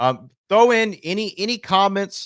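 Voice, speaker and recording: A man with an American accent on a very clean recording, silent in the background, dry and close with no echo. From US South. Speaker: podcast host. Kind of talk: casual chat. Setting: live stream.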